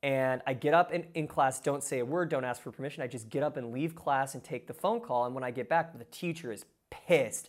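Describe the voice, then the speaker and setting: A man with a normal speaking voice, fairly high in pitch and fairly quick, on a very clean recording with a silent background. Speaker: filmmaker. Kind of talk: casual interview chat. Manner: casual, filler-heavy.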